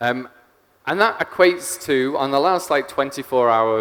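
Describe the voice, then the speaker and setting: A man speaks with an English accent. His pitch is medium. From England. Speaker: software engineer, conference speaker. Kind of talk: conference talk. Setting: stage with audience.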